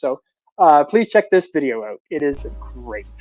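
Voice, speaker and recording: An animated tone with lively intonation, in a Canadian accent. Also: man. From Canada. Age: 50s. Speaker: livestream host. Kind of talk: casual chat.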